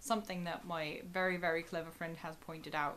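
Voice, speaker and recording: A woman in a German accent, fairly low-pitched, at a fairly quick pace. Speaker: YouTuber. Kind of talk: video commentary. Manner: animated.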